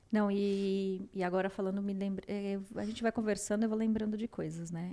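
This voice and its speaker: This woman speaks in a São Paulo accent at a moderate pace. Her voice sits at medium pitch with a dark, mellow tone. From São Paulo, Brazil. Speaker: podcast co-host. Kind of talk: casual chat.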